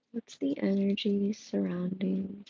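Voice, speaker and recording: The sound is dry and close, with no echo. A woman speaks at a very slow pace. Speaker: tarot reader. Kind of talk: tarot reading livestream. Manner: casual, filler-heavy.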